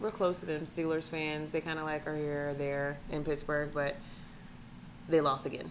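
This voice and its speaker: A woman with a very deep, low pitch, fairly even intonation and a moderate pace. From Atlanta, Georgia. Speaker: podcast co-host. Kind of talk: casual chat.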